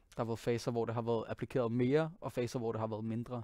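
A man speaks with a dark, mellow tone. The sound is dry with no echo over a quiet background. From Denmark, Copenhagen. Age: 20s. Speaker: singer and pianist; guest. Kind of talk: interview monologue. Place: studio. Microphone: headset.

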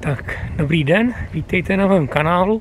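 The delivery is fairly slow, with ordinary pitch variation. The sound is dry with no echo, and there is noticeable background noise. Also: man. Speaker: hiking vlogger. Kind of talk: casual vlog chat. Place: street. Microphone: phone near.

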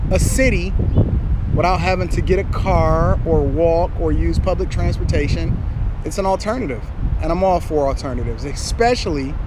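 Amid noticeable background noise, a man speaks at a moderate pace with a dry sound and no echo. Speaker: vlogger. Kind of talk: casual vlog chat. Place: street. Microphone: phone near.

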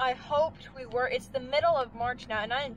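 A woman's voice with ordinary pitch variation, a dry sound with no echo, and noticeable background noise. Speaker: farm vlogger. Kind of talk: casual vlog chat. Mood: grumbling, amused about snow. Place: car. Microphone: phone near.

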